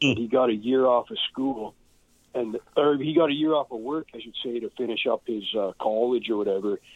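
A man's medium-pitched voice with a western Canadian accent, ordinary pitch variation and a fairly quick pace. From Canada, Edmonton area, Alberta. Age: 40s. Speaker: punk drummer and author. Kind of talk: casual chat.

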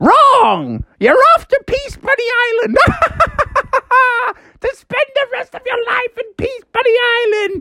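A put-on character voice at an extremely high pitch drags along at a very slow pace. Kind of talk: theatrical. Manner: gleeful, shouting.

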